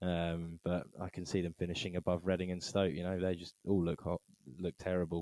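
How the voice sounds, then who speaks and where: A man with an English accent speaks at a moderate pace in a very deep, low, dark and mellow voice, monotone and flat, in a dry, close sound with no echo. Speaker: football podcast host. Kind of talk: casual chat.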